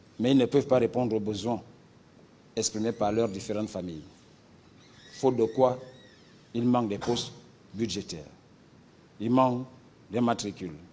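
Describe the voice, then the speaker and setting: Pausing long and often, a man speaks at a moderate pace in a medium-pitched voice with a dark, mellow tone and ordinary pitch variation. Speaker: union representative / protester. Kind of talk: public statement in a news interview.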